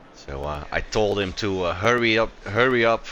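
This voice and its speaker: A man with a Dutch accent speaks at a fairly low pitch and moderate pace with ordinary pitch variation, over noticeable background noise. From Netherlands. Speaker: sim racing commentator. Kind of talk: live commentary. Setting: live stream broadcast. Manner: hesitant, many fillers.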